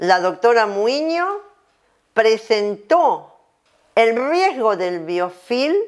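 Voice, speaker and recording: A woman's fairly high voice at a very slow pace, full of very wide pitch swings. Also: quiet background. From Argentina. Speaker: dentistry professor; dental lecturer. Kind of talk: lecture. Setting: at home. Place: home room.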